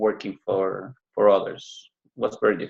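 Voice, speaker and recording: A man speaks with a Spanish accent at a fairly slow pace. The background is quiet. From Cuba. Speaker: business owner. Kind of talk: interview. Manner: halting.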